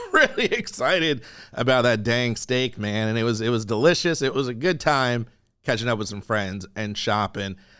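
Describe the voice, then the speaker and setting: Speaking at a moderate pace, a man has a bright, sharp tone, medium pitch and ordinary pitch variation. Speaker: podcast host. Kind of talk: casual podcast talk. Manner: chatty, rambling.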